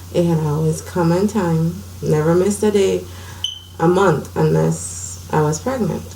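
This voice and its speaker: There is noticeable background noise and audible room echo as this woman talks fairly slowly. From US Virgin Islands, St. Croix. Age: 30s. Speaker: blind woman sharing her medical story. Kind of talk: personal testimony.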